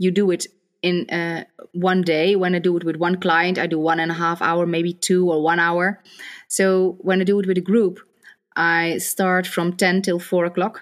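In a Dutch accent, a woman with a fairly low pitch speaks in a monotone, flat manner on a very clean recording with a silent background. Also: moderate pace. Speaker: psychosocial therapist. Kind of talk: interview conversation.

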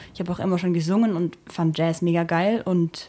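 With a dark, mellow tone and a fairly low pitch, a woman speaks at a very fast pace. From rural Germany. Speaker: singer and keyboardist in a duo. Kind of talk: casual interview chat. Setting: at the host's home.

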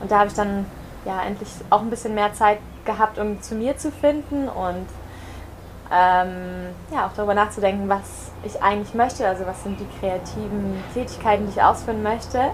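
A woman's medium-pitched voice at a moderate pace, fairly even in intonation, with noticeable background noise. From Germany. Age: 20s. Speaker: yoga teacher. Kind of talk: casual interview. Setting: in person on Mallorca.

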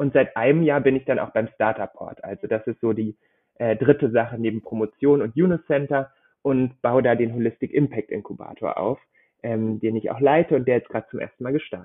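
A man has a plain, everyday voice at a medium pitch, with ordinary pitch variation. He talks at a fairly quick pace, with big swings in loudness. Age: 20s. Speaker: startup program manager and doctoral researcher. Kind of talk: interview.

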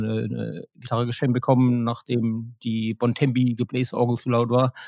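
On a very clean recording with a silent background, a man talks at a moderate pace and a medium pitch in a flat monotone. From Germany, Mannheim. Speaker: guitarist and sound engineer in a band. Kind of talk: casual interview.

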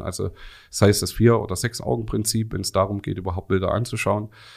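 On a very clean recording with a silent background, a man with an unremarkable speaking voice talks at a fairly low pitch with fairly even intonation. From Swabia, Remstal (Baden-Württemberg). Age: 40s. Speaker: video software industry expert. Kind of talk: expert interview.

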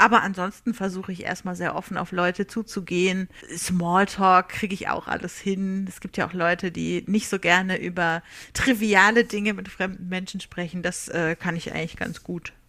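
A woman's medium-pitched voice, bright and sharp in tone, monotone and flat, at a moderate pace. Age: 30s. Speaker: social media and PR worker. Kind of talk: recorded self-introduction. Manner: talkative.

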